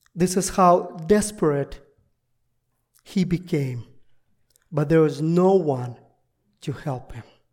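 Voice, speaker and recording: The speaker talks at a very slow pace with long, frequent pauses in a Russian accent. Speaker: visiting pastor. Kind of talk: sermon. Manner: halting.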